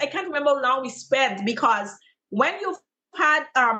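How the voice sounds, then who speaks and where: Using a raised, projected voice with very wide pitch swings, a woman talks at a moderate pace in a bright, sharp tone. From Guyana. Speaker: teacher and content creator. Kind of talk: interview answer.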